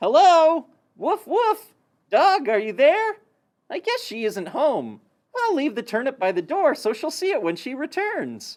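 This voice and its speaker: A high, cartoonish character voice makes very wide pitch swings at a moderate pace. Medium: puppet.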